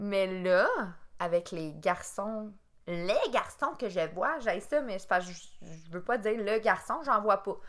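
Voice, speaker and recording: In a Quebec accent, a woman speaks at a very slow pace with ordinary pitch variation. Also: medium pitch for a woman. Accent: Québécois French. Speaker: podcast co-host. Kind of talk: casual chat.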